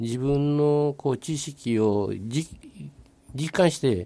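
A man's dark, mellow tone with a Kobe accent. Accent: Kansai (Kobe) dialect. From Nagata, Kobe, Japan. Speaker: retired businessman and local resident. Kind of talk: casual radio interview.

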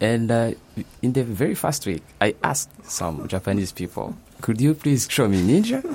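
Using an unremarkable speaking voice, a man talks at a moderate pace and medium pitch with lively intonation. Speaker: master's student. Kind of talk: casual interview.

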